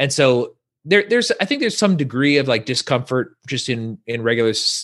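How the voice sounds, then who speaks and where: A man with an American accent, an unremarkable speaking voice at a medium pitch, lively intonation, and a fairly quick pace. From California, Central Valley. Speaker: podcaster, community organizer. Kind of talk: casual chat.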